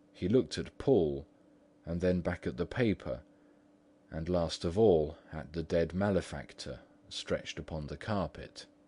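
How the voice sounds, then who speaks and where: A man with a very deep, low pitch and a dark, mellow tone speaks at a moderate pace with vocal fry and ordinary pitch variation over a quiet background. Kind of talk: third-person literary narration.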